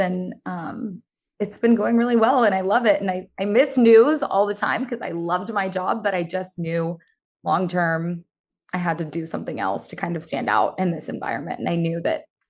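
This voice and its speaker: Here is a normal speaking voice moving at a moderate pace with lively intonation. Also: woman. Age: 20s. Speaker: former TV news reporter turned social media creator. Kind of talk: casual interview. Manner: casual, filler-heavy (um, like).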